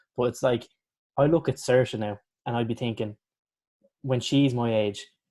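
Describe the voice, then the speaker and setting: Medium-pitched male speech in an Irish accent, dark and mellow in tone, with fairly even intonation at a moderate pace. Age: 20s. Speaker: podcast host. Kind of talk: casual chat.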